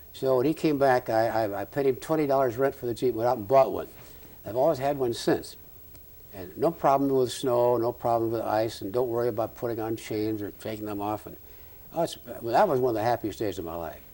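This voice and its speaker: In a Midwestern US accent, a man speaks at a fairly quick pace. His medium pitch varies in an ordinary way. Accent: US Midwest. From Nebraska, Omaha. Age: 70s. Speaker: retired ophthalmologist. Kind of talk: oral history interview. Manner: halting.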